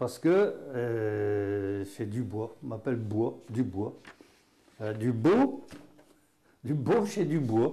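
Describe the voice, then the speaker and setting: Lively intonation carries a very slow delivery broken by long, frequent pauses. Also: man, medium pitch for a man. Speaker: patois teacher; dialect teacher. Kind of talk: regional dialect lesson. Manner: casual, folksy. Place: classroom. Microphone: lapel.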